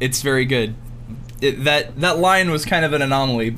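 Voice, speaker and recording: A man speaks at a moderate pace in a fairly high pitch with ordinary pitch variation. There is noticeable background noise. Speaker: podcast host. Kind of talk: casual chat, interview. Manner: animated, excitable.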